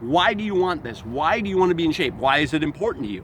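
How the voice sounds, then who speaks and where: A man at a fairly high pitch talking at a fairly quick pace, very wide pitch swings, over noticeable background noise. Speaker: self-help author and motivational speaker. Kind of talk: motivational talk. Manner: fast.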